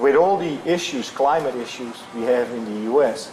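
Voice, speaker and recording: Amid noticeable background noise and audible room echo, a man with a slight European accent speaks at a fairly quick pace. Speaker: flooring company executive. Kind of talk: interview. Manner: halting.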